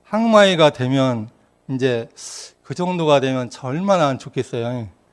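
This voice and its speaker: On a very clean recording with a silent background, a man speaks fairly slowly at a fairly high pitch with lively intonation. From Korea, rural Yeonggwang area. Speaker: Won Buddhist minister giving dharma talks. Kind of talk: dharma talk. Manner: conversational storytelling.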